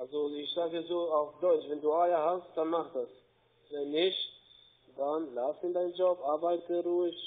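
Here a man talks with a high pitch. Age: 40s. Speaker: scam call center agent. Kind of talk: sales pitch. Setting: phone call. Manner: soft-spoken. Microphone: phone line.

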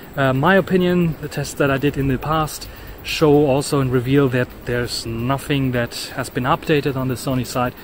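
Medium-pitched male speech at a fairly quick pace with fairly even intonation, plus noticeable background noise. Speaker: tech vlogger. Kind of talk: walking vlog. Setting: outdoors. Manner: loud.

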